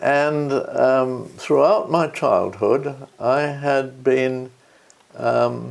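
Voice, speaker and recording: A man with a British RP accent at a very slow pace, with audible room echo. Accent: older British RP. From England. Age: 80s+. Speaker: peace and conflict researcher. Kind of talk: interview. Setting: at home. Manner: halting, with many fillers.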